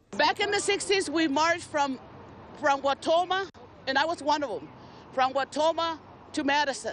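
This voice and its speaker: High-pitched female speech at a moderate pace, with ordinary pitch variation, long, frequent pauses and noticeable background noise. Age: 60s. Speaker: protester. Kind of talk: interview soundbite.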